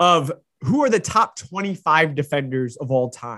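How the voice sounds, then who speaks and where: Lively intonation and a bright, sharp tone mark this man's voice over a quiet background. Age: 30s. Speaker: sports podcast host. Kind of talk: solo sports commentary podcast.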